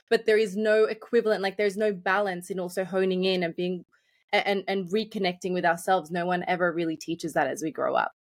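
Very fast female speech at a medium pitch, its intonation fairly even. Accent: Australian. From Australia, Sydney (moved from Colombia young). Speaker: life and business coach. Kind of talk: podcast interview.

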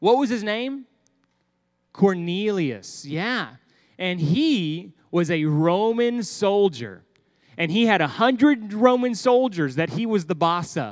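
In a very clean recording with a silent background, a man with a high pitch and a Texan accent speaks very slowly with lively intonation. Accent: Texan American. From Texas. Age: 30s. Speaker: pastor. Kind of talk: sermon for children. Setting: church.

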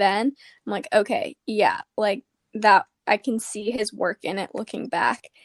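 An ordinary speaking voice: a woman with an American accent, fairly high pitch, fairly even intonation and a fairly slow pace, in a dry, close sound with no echo on a very clean recording with a silent background. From Arizona. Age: 20s. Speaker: podcast host and college student. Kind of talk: casual interview.

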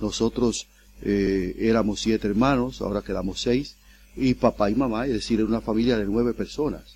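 Male speech, very cleanly recorded against a silent background. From Dominican Republic, El Seibo province. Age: 60s. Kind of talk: interview. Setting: studio.

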